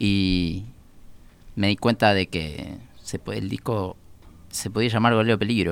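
A man speaks at a fairly slow pace in a fairly low voice, his intonation fairly even, with long, frequent pauses. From Uruguay, Montevideo. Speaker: musician. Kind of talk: casual chat.

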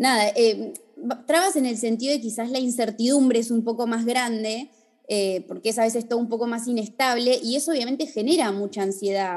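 At a fairly quick pace, a woman talks in a plain, everyday voice with a fairly high pitch. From Argentina, Bariloche. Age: 30s. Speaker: fashion designer and influencer. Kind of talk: casual interview. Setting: video call.

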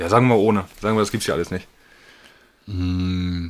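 Noticeable background noise sits behind a man's very deep, low voice. His intonation stays fairly even. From northern Germany. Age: young. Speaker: trainee. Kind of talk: casual chat.

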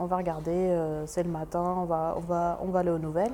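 Fairly quick and fairly low-pitched, a woman talks in a dark, mellow tone with monotone, flat intonation, and the room echo is audible. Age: 20s. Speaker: laboratory technician, feminist. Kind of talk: interview testimony. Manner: hesitant, many fillers and repetitions.

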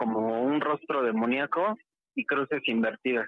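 With a Mexico City accent, a man speaks at a fairly high pitch and with lively intonation. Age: 30s. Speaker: caller. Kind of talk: testimony.

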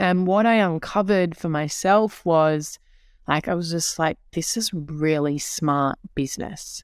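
An ordinary speaking voice from a woman, fairly low in pitch, fairly slow, with ordinary pitch variation, on a very clean recording with a silent background. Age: 30s. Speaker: guest host and entrepreneur. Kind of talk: casual chat.

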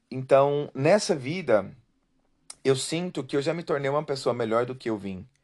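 In a quiet background, a man with an unremarkable speaking voice speaks at a medium pitch and a moderate pace with lively intonation. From Brazil. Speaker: podcast host. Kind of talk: personal testimony monologue.

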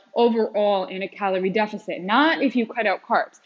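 The speaker is a woman. She keeps a moderate pace. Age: 30s. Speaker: fitness podcast host. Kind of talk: solo podcast monologue. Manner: casual, filler-heavy.

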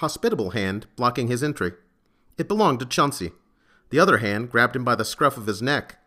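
Lively intonation marks this voice. It is reading aloud in a natural voice.

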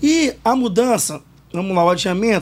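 A man speaks here. His pitch swings very widely. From Espírito Santo, Brazil (Vitória, Morro do Quadro). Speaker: samba school league president. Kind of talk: podcast interview.

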